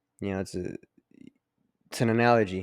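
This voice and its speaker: A man mumbles at a fairly low pitch. His intonation stays fairly even. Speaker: podcast host. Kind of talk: casual monologue. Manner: mumbling; halting.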